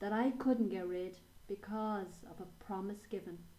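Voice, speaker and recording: With an Irish accent, a woman speaks fairly slowly in a somewhat breathy voice with ordinary pitch variation. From Ireland. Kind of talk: poetry reading.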